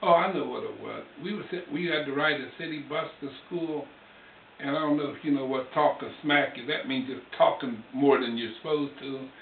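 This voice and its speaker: A man's fairly high-pitched voice with fairly even intonation against noticeable background noise. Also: moderate pace, big swings in loudness. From Ohio River region, USA. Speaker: Navy veteran. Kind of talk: personal storytelling.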